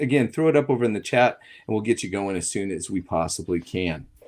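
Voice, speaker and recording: A man speaks fairly quickly with an American accent and lively intonation, in an ordinary speaking voice. The recording is very clean, with a silent background. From United States. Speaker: film discussion moderator. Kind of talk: moderated panel discussion.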